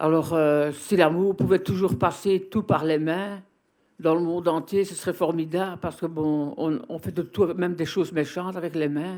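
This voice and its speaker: A high-pitched man with a dark, mellow tone, fairly slow, with fairly even intonation in a very clean recording over a silent background. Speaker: video workshop participant. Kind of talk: group discussion.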